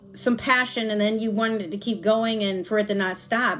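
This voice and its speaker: A woman with a fairly high pitch speaks at a moderate pace. Her intonation is fairly even, and background noise is noticeable. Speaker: tarot reader. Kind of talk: tarot reading. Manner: pausing, slightly halting; casual, relaxed.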